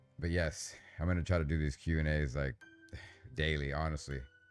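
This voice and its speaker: A man talks at a very deep, low pitch and a moderate pace. His intonation is fairly even, with music in the background. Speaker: paranormal channel host. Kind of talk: live stream Q&A. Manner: casual, halting with fillers.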